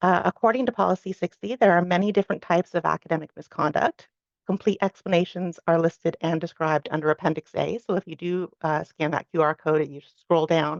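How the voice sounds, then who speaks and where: A woman speaks at a fairly quick pace in a fairly low pitch with vocal fry and ordinary pitch variation, in a dry, close sound with no echo. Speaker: university staff presenter. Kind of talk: orientation presentation. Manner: fast.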